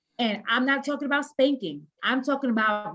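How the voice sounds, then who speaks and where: Pitch varies in an ordinary way while the speech keeps a moderate pace. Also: woman. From US, Haitian-American family. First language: Haitian Creole. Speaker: panelist. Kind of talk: panel discussion.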